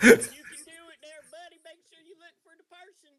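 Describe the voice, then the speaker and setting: This put-on character voice uses a Southern US accent and moves at a moderate pace. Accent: Southern American. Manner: encouraging, friendly.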